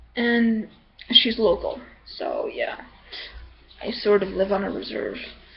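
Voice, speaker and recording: Noticeable background noise fills the recording. Through it, a woman speaks at a fairly slow pace, with long, frequent pauses. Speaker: vlogger. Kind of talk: casual vlog monologue. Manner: hesitant, many fillers.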